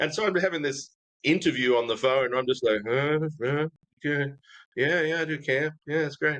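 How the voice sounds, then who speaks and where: Speaking with an American accent, a man with a fairly high pitch talks at a moderate pace with ordinary pitch variation. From Australia. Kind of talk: casual interview chat.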